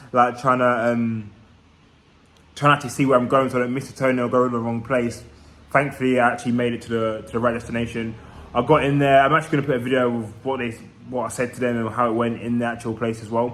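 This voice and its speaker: The speaker talks at a very fast pace in a flat monotone, in a London accent. Room echo is audible. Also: man, medium pitch for a man. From East London, England. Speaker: vlogger. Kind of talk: casual vlog monologue.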